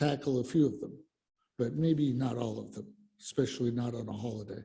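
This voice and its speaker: A man with an American accent speaks at a moderate pace in a dark, mellow tone. His voice is somewhat breathy, with audible room echo. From Colorado. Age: 60s. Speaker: lay speaker at church service. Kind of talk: sermon. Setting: church, in person and on Zoom. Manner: halting, many fillers.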